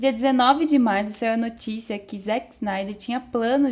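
The speaker talks at a fairly slow pace with a Brazilian accent and fairly even intonation. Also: woman. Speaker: podcast co-host. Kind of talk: casual pop culture chat with news reading.

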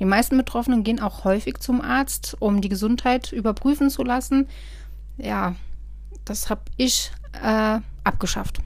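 The speaker is a woman who talks at a moderate pace. She leaves long, frequent pauses. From Germany, Westerwald. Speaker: podcast host. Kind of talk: personal monologue podcast. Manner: casual, hesitant with frequent fillers.

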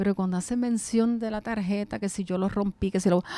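A woman's medium-pitched voice has a dark, mellow tone and a dry, close sound with no echo. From New York City, then Puerto Rico (Quebradillas) from age 13. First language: English (speaking Spanish). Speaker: retired English teacher. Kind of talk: casual interview.

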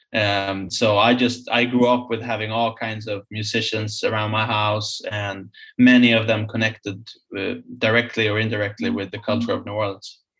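In a Swedish accent, the speaker holds a moderate pace with monotone, flat intonation. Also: man, medium pitch for a man. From Sweden, Stockholm. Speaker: musician, band frontman. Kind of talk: casual interview.

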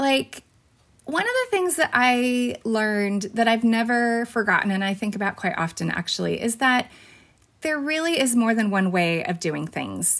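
The speaker has a Californian accent, lively intonation and a moderate pace. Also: woman, fairly high pitch for a woman. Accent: Californian American. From California (Fresno). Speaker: teacher and podcast host. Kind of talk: casual interview.

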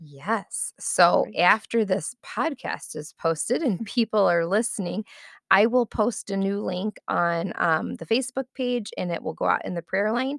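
A woman speaks at a fairly slow pace in a medium pitch, with lively intonation and vocal fry. The sound is dry and close, without any echo. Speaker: church ministry volunteer. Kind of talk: casual interview.

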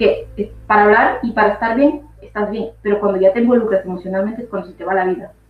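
A woman talks at a very fast pace and medium pitch, with hardly any pauses. Her intonation is fairly even, and background noise is noticeable. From Ecuador. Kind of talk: casual conversation about personal experience. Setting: live stream.

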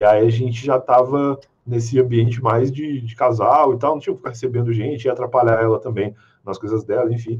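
A somewhat breathy man's voice, medium in pitch, fairly quick, and in monotone, flat intonation. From southern Rio Grande do Sul, Brazil. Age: 30s. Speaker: podcaster. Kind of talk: casual chat.

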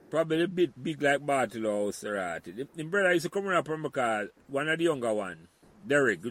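A man in a Jamaican accent talks at a very fast pace, his fairly high voice making very wide pitch swings. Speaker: podcast host. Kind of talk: casual conversation, interview.

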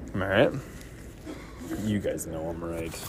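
A man's pitch swings very widely. Audible room echo and noticeable background noise surround his voice. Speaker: fantasy football podcast host. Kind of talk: solo casual podcast monologue. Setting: airport terminal during layover. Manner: casual with many fillers.

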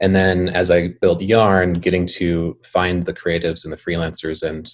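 A man with an American accent speaks at a moderate pace in a very deep, low pitch. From North Dakota, Bismarck. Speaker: video production company founder. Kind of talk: interview.

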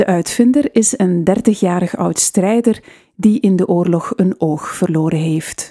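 At a very slow pace, a woman speaks in a dark, mellow tone of medium pitch with ordinary pitch variation. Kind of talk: 1920s newsreel-style news reading. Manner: formal; measured, steady newsreader delivery.

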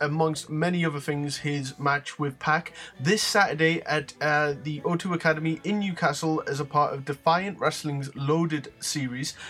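Over noticeable background noise, a man with a British accent speaks at a fairly slow pace, his fairly high pitch held in fairly even intonation. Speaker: wrestling podcast host. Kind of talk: casual chat.

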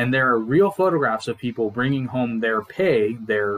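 An ordinary speaking voice from a man at a fairly slow pace, with ordinary pitch variation. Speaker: podcast co-host. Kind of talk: solo monologue about economics, casual. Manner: informal, humorous, chatty.

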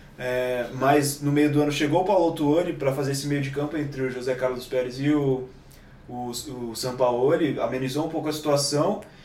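A man speaks at a fairly high pitch and a moderate pace, his intonation fairly even. Noticeable background noise and audible room echo fill the recording. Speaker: football commentator. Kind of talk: casual chat.

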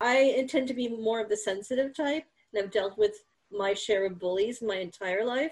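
A woman talks in a plain, everyday voice at a fairly high pitch. Her pitch varies in an ordinary way and her pace is moderate. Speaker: podcast host and meditation coach. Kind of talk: interview.

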